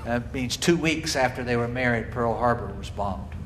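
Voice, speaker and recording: A man speaks with an American accent. Room echo is audible and background noise is noticeable. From US South, Marietta, Georgia. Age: 60s. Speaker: cathedral dean teaching an adult class. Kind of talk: lecture. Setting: church hall.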